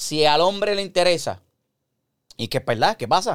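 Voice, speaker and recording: Animated in tone, a man talks at a fairly quick pace with ordinary pitch variation. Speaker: podcast host. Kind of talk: casual chat.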